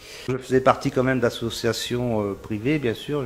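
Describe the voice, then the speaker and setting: A man at a moderate pace with fairly even intonation, amid noticeable background noise. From northern France, Pas-de-Calais (Isbergues). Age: 60s. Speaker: magnetic healer. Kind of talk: interview testimony. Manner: hesitant, many fillers and repetitions.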